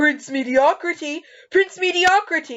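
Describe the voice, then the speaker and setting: Put-on character voice, high in pitch, at a fairly slow pace. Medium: audio drama. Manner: deferential.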